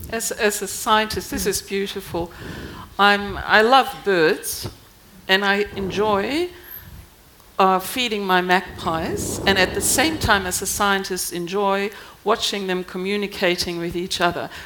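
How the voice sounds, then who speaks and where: A woman with a German accent speaks at a fairly slow pace and medium pitch. Her intonation is fairly even, with noticeable background noise behind her. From Germany. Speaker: scientist, embassy science officer. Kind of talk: panel discussion.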